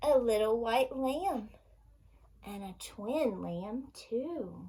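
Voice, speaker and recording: At a very slow pace, a woman speaks with a fairly high pitch. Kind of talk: children's storytime read-aloud. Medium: read story. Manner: cheerful, sing-song, gentle.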